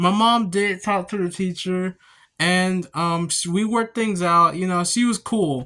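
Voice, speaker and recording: Speaking at a fairly slow pace, a man with an American accent uses a raised, projected voice that is high-pitched with a bright, sharp tone. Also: fairly even intonation, very clean recording, silent background. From Kansas and Missouri, US Midwest. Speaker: vlogger. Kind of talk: personal storytelling vlog. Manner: halting, many fillers and restarts.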